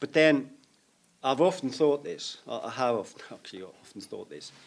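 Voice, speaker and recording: A man with a Scottish accent at a moderate pace, his loudness swinging widely. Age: 60s. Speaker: video maker in media. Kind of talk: casual interview chat.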